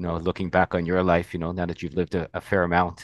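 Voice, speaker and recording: The recording is dry and close, with no echo and a quiet background. A man speaks in a very deep, low voice. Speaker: podcast host. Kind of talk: casual chat.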